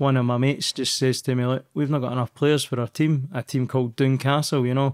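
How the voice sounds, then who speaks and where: The speech moves at a very fast pace with fairly even intonation. Behind it, the background is quiet. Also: man. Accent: Scottish. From Scotland, Stirling; Scotland. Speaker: professional footballer; interview guest. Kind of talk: interview, personal story. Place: studio. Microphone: studio mic.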